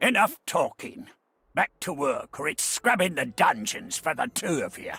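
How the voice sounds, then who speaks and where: A man puts on a raspy character voice with an extremely high pitch, moving at a moderate pace. The sound is dry and close, with no echo. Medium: video game. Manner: gruff, grumbling.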